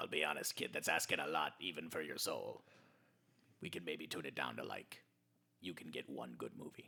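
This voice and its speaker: A man puts on a raspy character voice with a very deep, low pitch. He goes at a fairly quick pace but with long, frequent pauses. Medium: actual play. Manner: wry, casual, bargaining.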